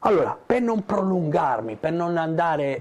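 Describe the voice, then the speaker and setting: With lively intonation, the man delivers his words at a fairly slow pace. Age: 50s. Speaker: digital entrepreneur. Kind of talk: motivational talk to camera. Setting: in front of a camera. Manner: hesitant, many fillers.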